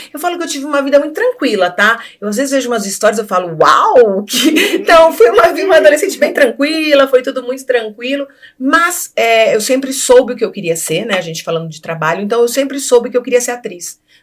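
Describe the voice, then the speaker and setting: Against noticeable background noise, a woman talks at a fairly quick pace with hardly any pauses, her high pitch swinging very widely. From Brazil, Rio de Janeiro then São Paulo from age 10. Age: 50s. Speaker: actress and radio host. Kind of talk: interview.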